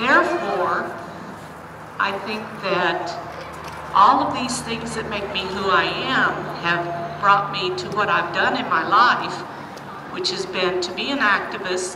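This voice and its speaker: A woman speaks at a very slow pace with long, frequent pauses, amid audible room echo and noticeable background noise. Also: medium pitch for a woman, ordinary pitch variation. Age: 70s. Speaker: retired teacher and activist. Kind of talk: rally speech. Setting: outdoor rally.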